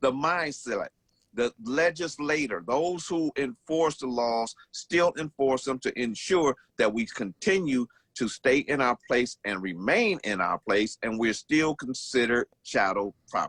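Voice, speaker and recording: A man speaks fairly slowly at a medium pitch. It is an ordinary speaking voice with lively intonation. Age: 60s. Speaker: radio show guest. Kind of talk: radio talk show discussion.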